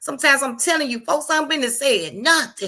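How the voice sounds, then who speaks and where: The recording is very clean, with a silent background. A woman talks loudly at a fairly quick pace in a bright, sharp tone. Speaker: livestream host. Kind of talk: casual live stream talk. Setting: live stream. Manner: animated.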